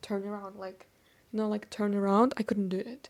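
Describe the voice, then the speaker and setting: A woman's fairly high voice with a dark, mellow tone and fairly even intonation. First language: Turkish. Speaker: vlogger. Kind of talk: casual chat. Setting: filming alone on camera. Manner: chatty, rambling with fillers.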